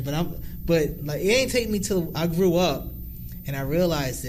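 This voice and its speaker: A loud, high-pitched male voice at a moderate pace, with lively intonation, audible room echo and noticeable background noise. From New Jersey. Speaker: YouTuber. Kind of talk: casual chat.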